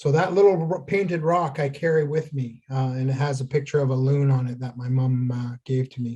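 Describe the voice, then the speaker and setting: A man's somewhat breathy voice with a dark, mellow tone and fairly even intonation. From Ontario First Nation, Canada. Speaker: traditional healer, craft teacher. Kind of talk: tutorial. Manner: halting, many fillers.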